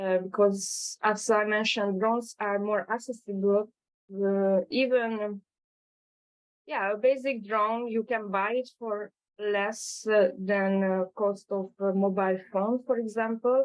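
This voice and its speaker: With a Hungarian accent, a woman speaks at a fairly slow pace in a medium pitch, her intonation fairly even. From Hungary. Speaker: drone startup founder. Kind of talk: webinar presentation. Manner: halting, many fillers.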